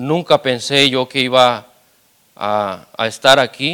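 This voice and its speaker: At a very slow pace, a man speaks in a bright, sharp tone with a medium pitch and fairly even intonation. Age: 30s. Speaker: lay preacher. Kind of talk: sermon. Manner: halting, many repetitions.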